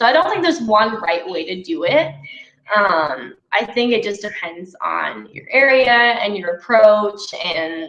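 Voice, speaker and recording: A woman speaks at a fairly slow pace. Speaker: glass repair trainer. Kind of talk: live webinar Q&A.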